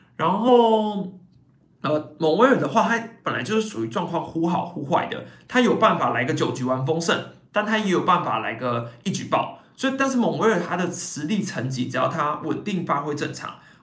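A man with a high voice talks at a moderate pace with very wide pitch swings, amid noticeable background noise and audible room echo. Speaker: baseball podcast host and YouTuber. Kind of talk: casual live-stream commentary.

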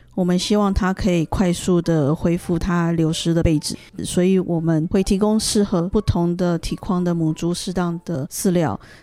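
In a dark, mellow tone, the speaker keeps a moderate pace with hardly any pauses and fairly even intonation. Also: woman, fairly low pitch for a woman. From Taiwan. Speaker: interpreter. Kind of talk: consecutive interpretation.

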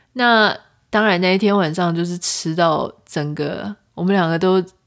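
On a very clean recording with a silent background, a woman with an unremarkable speaking voice talks at a fairly slow pace, with fairly even intonation and a fairly low pitch. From Taiwan. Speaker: podcast host. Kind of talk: solo podcast monologue, travel story. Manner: casual, chatty.

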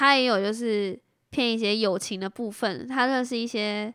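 Ordinary pitch variation comes through in a Taiwanese accent on a very clean recording with a silent background and a dry, close sound with no echo. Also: woman. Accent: Taiwanese Mandarin. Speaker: podcast co-host. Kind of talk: casual chat.

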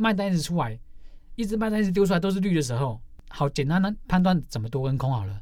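An animated, very fast voice in a Taiwanese accent, full of very wide pitch swings. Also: man. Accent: Taiwanese Mandarin. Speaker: stock day-trading forum moderator. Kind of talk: casual interview.

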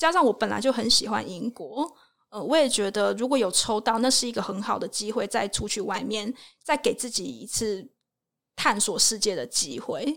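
A woman speaks at a moderate pace with lively intonation. Her voice has vocal fry. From Taiwan. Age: 20s. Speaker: working holiday traveler and travel blogger. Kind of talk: casual interview chat.

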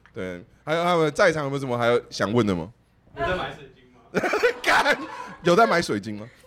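An animated tone with very wide pitch swings at a moderate pace, over noticeable background noise. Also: man, fairly high pitch for a man. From Taiwan, Taoyuan. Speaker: live podcast panelist who sells plants online. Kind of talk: live podcast group chat. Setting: live event with audience.

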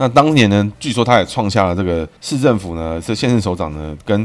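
A man's fairly low voice carries a lively intonation. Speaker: political commentary podcast host using name numerology. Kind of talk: solo monologue podcast. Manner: casual, many filler particles.

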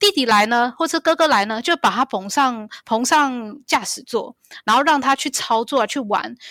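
On a very clean recording with a silent background and a dry, close sound with no echo, a woman with a Taiwanese accent speaks at a moderate pace, her high pitch carrying lively intonation and a bright, sharp tone. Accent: Taiwanese Mandarin. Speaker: pilot. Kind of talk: interview.

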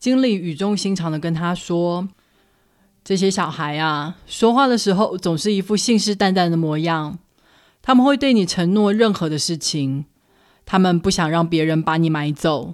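In a very clean recording with a silent background, a woman with a Taiwanese accent speaks at a moderate pace in a fairly low voice with ordinary pitch variation. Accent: Taiwanese Mandarin. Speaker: podcast host, book reviewer. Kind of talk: book review narration. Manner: animated.

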